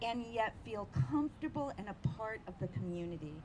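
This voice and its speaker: A woman at a moderate pace, with audible room echo. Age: 60s. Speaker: community activist. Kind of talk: public speech at news conference.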